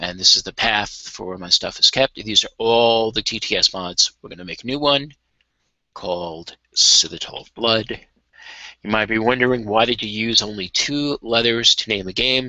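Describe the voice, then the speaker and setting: A man with an ordinary speaking voice talks at a moderate pace and medium pitch, using ordinary pitch variation and big swings in loudness. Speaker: game modding tutorial streamer. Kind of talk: tutorial. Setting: live video stream. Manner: casual.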